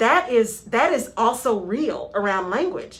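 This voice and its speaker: Animated in tone, a woman with an American accent speaks at a fairly high pitch with very wide pitch swings. Noticeable background noise runs underneath. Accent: Texan drawl, stronger when tired. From West Texas. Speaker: radio show host, HR consultant. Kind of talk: radio talk show discussion. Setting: radio studio. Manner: animated, conversational.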